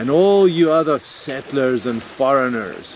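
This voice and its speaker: A man talks at a very slow pace in a South African accent. Background noise is noticeable throughout. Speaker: video blogger. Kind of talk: personal reflection monologue.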